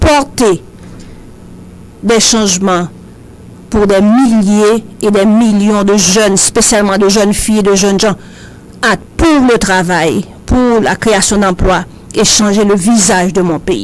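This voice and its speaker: A woman at a medium pitch speaks at a very slow pace with very even loudness, ordinary pitch variation and long, frequent pauses. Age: 60s. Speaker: social activist and human resources specialist. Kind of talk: radio talk show interview. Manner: hesitant, many fillers.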